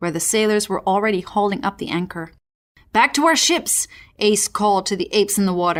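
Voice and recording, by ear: The background stays quiet. A speaker reads aloud in a natural voice.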